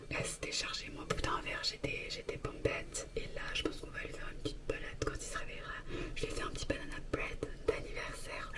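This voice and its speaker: A woman whispers amid noticeable background noise and audible room echo. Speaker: vlogger. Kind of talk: casual vlog talk. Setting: bathroom. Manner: whispering.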